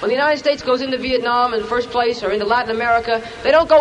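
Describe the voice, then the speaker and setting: Over noticeable background noise, a man talks very fast in an extremely high voice, his tone passionate and his intonation fairly even. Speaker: rally speaker. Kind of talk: rally speech. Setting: outdoor rally, in the rain. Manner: passionate, fast-paced, argumentative.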